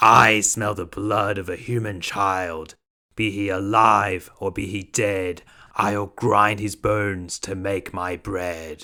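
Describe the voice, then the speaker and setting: A man shouts and bellows in a loud, raspy, put-on character voice, fairly low in pitch and fairly slow, on a very clean recording with a silent background. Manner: loud, roaring, shouting.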